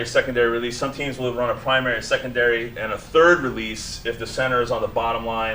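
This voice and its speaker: Over noticeable background noise, a man talks fairly quickly at medium pitch. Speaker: coach. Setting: clinic or presentation. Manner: fast talker.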